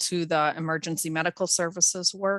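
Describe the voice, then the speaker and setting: A loud woman at fairly low pitch, bright and sharp in tone, flat and monotone, at a moderate pace, with a dry, close sound and no echo. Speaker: public health official. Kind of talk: presentation. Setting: video call.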